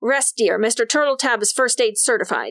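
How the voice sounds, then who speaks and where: A woman growls in a put-on character voice, high in pitch, at a moderate pace. The sound is dry and close with no echo, in a very clean recording with a silent background. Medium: read story. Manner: brisk, dryly sarcastic.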